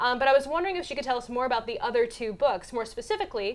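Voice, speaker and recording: A woman with a high pitch talks at a very fast pace, her pitch swinging very widely. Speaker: show host. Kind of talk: podcast host talk. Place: studio. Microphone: lapel.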